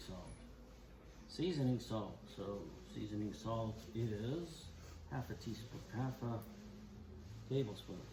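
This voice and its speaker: Amid noticeable background noise and audible room echo, a man speaks at a very slow pace with long, frequent pauses. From Canada. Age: 70s. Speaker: woodturning channel host, grandfather. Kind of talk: casual cooking chat.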